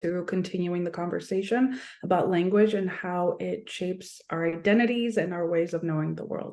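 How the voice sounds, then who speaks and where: Speaking at a fairly quick pace with an American accent, a woman has a dark, mellow tone, a fairly low pitch and fairly even intonation. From United States, Polish diaspora. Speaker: sociology professor. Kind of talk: panel discussion.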